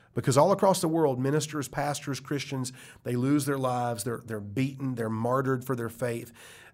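Someone with a Southern US accent talks at a fairly quick pace with ordinary pitch variation. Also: man, medium pitch for a man. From US South, South Carolina. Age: 40s. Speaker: pastor and author. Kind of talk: interview, testimony. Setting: studio.

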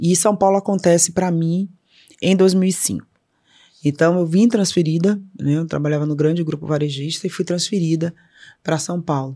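A woman speaks in a northeastern Brazilian accent, at a fairly low pitch with a dark, mellow tone and fairly even intonation. The recording is very clean, with a silent background. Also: moderate pace. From Salvador, Bahia, Brazil. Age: 50s. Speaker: corporate board member and co-founder. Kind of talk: interview conversation.

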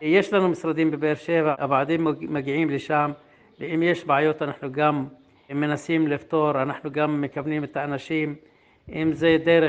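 A man speaks in an Arabic accent at a fairly slow pace. His pitch sits fairly high, and his intonation stays flat and monotone. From Negev Bedouin, Israel. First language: Arabic (speaking Hebrew). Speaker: field coordinator. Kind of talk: interview.

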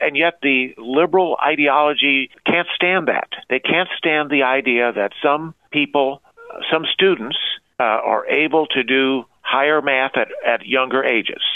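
A man speaks with a fairly high pitch and ordinary pitch variation. He has an unremarkable speaking voice. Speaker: conservative columnist. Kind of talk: interview.

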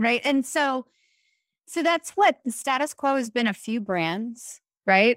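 In a dry, close recording with no echo, a woman with an ordinary speaking voice talks at a fairly slow pace, her pitch varying in an ordinary way. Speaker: podcast host. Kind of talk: scripted intro then casual interview. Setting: remote interview.

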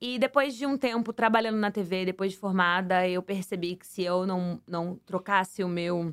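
A woman talks at medium pitch and a moderate pace in a normal speaking voice. Her pitch varies in an ordinary way. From Santos, São Paulo state, Brazil. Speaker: former reality show contestant and flight attendant. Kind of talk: casual interview.

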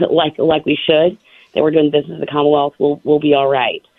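Her voice sits very deep and low. She has an American accent. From Virginia (Suffolk). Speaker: state legislator. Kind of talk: radio interview.

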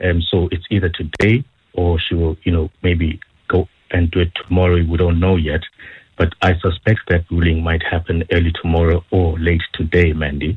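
A man with a very deep, low pitch speaks at a moderate pace in a monotone, flat intonation, his loudness very even. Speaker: news reporter. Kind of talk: radio interview. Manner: many fillers.

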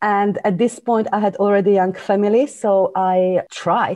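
Speaking with a Slovak accent, a woman uses a dark, mellow tone at medium pitch, with fairly even intonation and a moderate pace. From Slovakia. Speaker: business coach and author. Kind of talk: interview.

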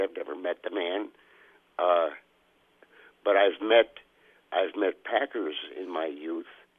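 A man with an American accent, speaking at a fairly slow pace. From Des Moines, Iowa. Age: 60s. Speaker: caller. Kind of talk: casual call-in opinion. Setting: phone call.

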